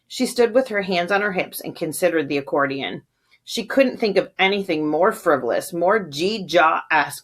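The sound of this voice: The quiet background sits behind an unforced reading voice.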